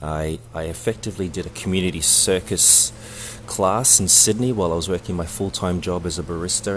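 A man talks at a very fast pace in a very deep, low voice with ordinary pitch variation. Music plays in the background. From New Zealand (Samoan heritage), raised also in Australia. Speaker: circus director and performer. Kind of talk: interview. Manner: halting.

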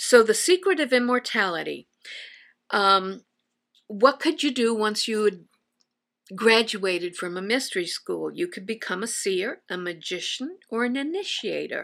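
Delivered at a fairly slow pace in an American accent, this voice has very wide pitch swings and big swings in loudness. The recording is very clean, with a silent background. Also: woman, fairly high pitch for a woman. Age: 70s. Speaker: teacher and lecturer on religious history. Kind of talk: lecture. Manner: halting.

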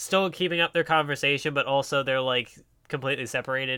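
Fairly quick in pace, a man talks in an ordinary speaking voice. His pitch is fairly high, with fairly even intonation. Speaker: podcast co-host. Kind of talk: casual chat.

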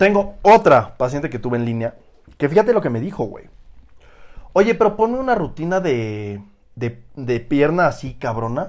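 With a Mexican accent, a man speaks in an animated tone at a fairly high pitch, his voice making very wide pitch swings. His pace is moderate, broken by long, frequent pauses. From Oaxaca, Mexico. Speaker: fitness coach. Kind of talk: casual chat.

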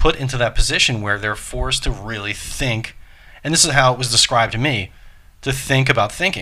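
A man with an ordinary speaking voice talks at a fairly quick pace, with a medium pitch and ordinary pitch variation. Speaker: podcast host and yoga teacher. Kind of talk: casual chat.

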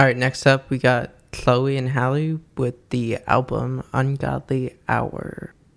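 The delivery is monotone and flat, at a very slow pace with hardly any pauses. Noticeable background noise runs underneath. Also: man, medium pitch for a man. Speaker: podcast host. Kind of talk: casual banter.

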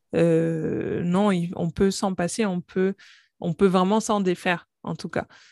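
The speaking is at a very slow pace with fairly even intonation. The sound is dry and close, with no echo. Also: woman, medium pitch for a woman. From Guadeloupe. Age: 30s. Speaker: pharmacist and company founder. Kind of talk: interview, testimony and health explanation.

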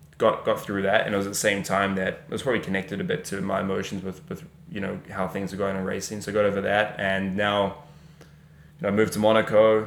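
A man with a New Zealand accent talks very fast in a fairly low voice. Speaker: racing driver. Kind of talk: casual chat.

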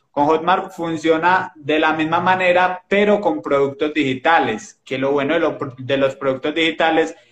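At a fairly slow pace and with fairly even intonation, a man talks in an ordinary speaking voice. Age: 20s. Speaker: digital marketing entrepreneur. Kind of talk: casual chat. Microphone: old phone camera, poor resolution.

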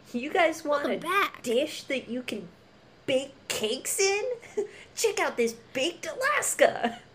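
A put-on character voice, high in pitch, at a fairly slow pace with long, frequent pauses. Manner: bright, hyped sales pitch.

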